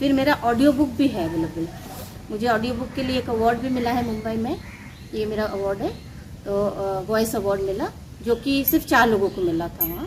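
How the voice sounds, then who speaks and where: A woman with a Bengali accent, fairly high pitch, lively intonation and a moderate pace, against noticeable background noise. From Ranchi, Jharkhand, India. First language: Bengali (speaking Hindi). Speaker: author. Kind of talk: interview.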